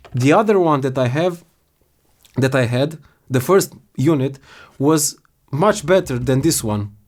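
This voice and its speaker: A man with a non-native accent and a fairly high pitch, lively intonation, a fairly slow pace and long, frequent pauses. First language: not English. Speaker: product reviewer. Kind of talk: product complaint review. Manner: halting.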